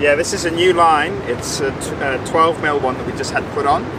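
Over loud background noise, a man talks at a moderate pace in a dry sound with no echo. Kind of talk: casual explanation to camera. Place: boat.

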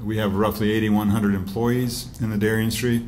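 A man's fairly low voice stays monotone and flat, with light background noise behind it. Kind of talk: press conference statement. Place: hall. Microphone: podium.

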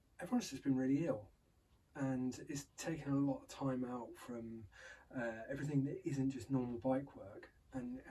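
Here a man speaks fairly quickly in a dark, mellow tone that is somewhat breathy. Light background noise is present. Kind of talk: casual vlog chat. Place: workshop. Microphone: camera far.

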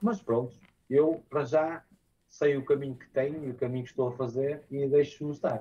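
A somewhat breathy man with a fairly high pitch and a dark, mellow tone speaks at a moderate pace, his intonation fairly even and his loudness swinging widely. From northern Portugal, Porto area; northern Portugal. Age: 30s. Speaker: DJ and music producer; DJ. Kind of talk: interview. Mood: calm, reflective. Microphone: video call.

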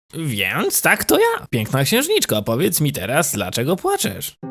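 A man's cartoonish character voice, fairly high in pitch, at a moderate pace. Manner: soft, polite, affectionate.

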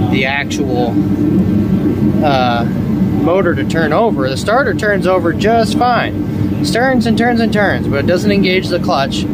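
Speech moves at a fairly slow pace over loud background noise. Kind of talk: casual DIY vlog narration. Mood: relaxed, joking. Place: garage. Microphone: phone near.

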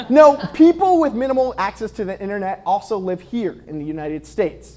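A man talks in a high voice. He keeps a moderate pace. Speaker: comedy segment host. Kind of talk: comedic news monologue. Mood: wry, playful. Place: studio. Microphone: lapel.

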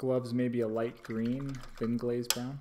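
A man speaks at a fairly slow pace in a dark, mellow tone. Noticeable background noise runs under his voice. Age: 30s. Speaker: miniature painting streamer. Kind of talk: live stream tutorial chat. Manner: casual, filler-heavy. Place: home room. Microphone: studio mic.

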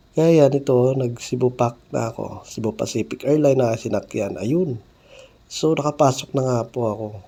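His pitch is medium and varies in an ordinary way. The man uses an ordinary speaking voice, keeping a moderate pace. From Mindanao, South Cotabato (General Santos area). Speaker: vlogger. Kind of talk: travel vlog narration. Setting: airport, airplane and taxi on the go.

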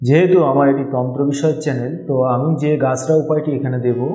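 Strong room echo around a man at a medium pitch, fast pace and fairly even intonation.

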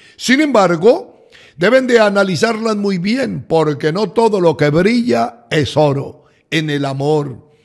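A high-pitched man at a fairly slow pace, with lively intonation. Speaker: astrologer. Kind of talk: scripted horoscope reading. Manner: warm, formal address to audience.

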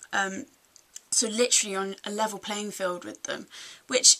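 A woman speaks at a moderate pace. Her voice is fairly high, with a bright, sharp tone. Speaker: music blogger and vlogger. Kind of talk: casual video review. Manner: hesitant, chatty, many filler words. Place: home room. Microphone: webcam.

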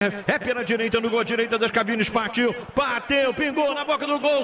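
In a raised, projected voice, a man speaks amid audible room echo. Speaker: radio football commentator. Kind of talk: live radio football goal call. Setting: radio broadcast from stadium. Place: booth.

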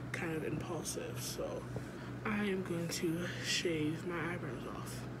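Loud background noise runs beneath speech delivered at a fairly slow pace. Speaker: vlogger. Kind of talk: casual vlog chat. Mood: playful, impulsive. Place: home room. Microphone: phone near.

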